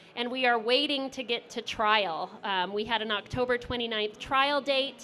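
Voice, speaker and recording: Loud and bright, the sharp-toned voice moves at a moderate pace with fairly even intonation. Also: woman. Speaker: lawyer. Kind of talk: panel presentation.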